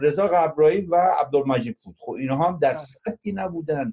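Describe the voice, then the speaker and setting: With a dark, mellow tone and a high pitch, a man speaks at a moderate pace with ordinary pitch variation. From Iran, Mazandaran (Qaem Shahr). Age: 60s. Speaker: former guerrilla member, blogger. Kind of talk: panel discussion.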